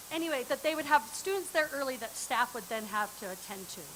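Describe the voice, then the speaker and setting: A woman talks at a fairly quick pace, her pitch swinging very widely. Noticeable background noise is present. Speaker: parent advisor giving public comment. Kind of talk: public comment at school board meeting. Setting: board meeting room with microphone, streamed online. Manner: loud.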